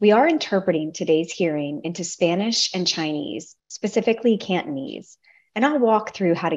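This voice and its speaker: Against a quiet background, a woman talks at a moderate pace with a fairly low pitch. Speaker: meeting facilitator. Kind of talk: formal meeting announcement. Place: home room. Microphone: video call.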